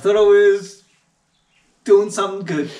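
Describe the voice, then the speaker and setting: A man at a moderate pace. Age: young. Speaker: videographer and filmmaker. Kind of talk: casual chat. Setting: home garage studio.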